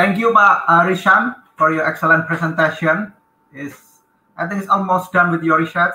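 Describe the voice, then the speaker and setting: A high-pitched man at a moderate pace with fairly even intonation and audible room echo. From Indonesia. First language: Indonesian. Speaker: conference moderator. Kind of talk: moderating a session. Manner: halting. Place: office.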